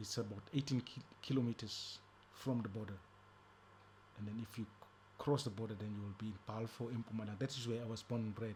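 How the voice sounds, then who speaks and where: A man with a medium pitch and a somewhat breathy voice talks very fast. His intonation is fairly even, broken by long, frequent pauses. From South Africa, East Rand (Gauteng). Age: 60s. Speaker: ex-offender and prisoner rights activist. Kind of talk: interview testimony.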